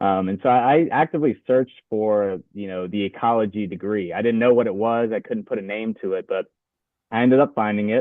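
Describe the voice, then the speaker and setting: A man with an American accent speaks at a fairly low pitch. His pace is fairly quick, with ordinary pitch variation. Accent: Louisiana accent, others notice it. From Louisiana, US South. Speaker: graduate student, waterfowl researcher. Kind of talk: podcast interview. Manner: hesitant, many fillers.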